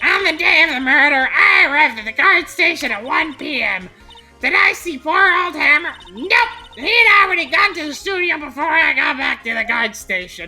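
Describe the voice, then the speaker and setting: In a put-on character voice, a woman speaks at a high pitch with very wide pitch swings, faint music playing in the background. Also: moderate pace. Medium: actual play.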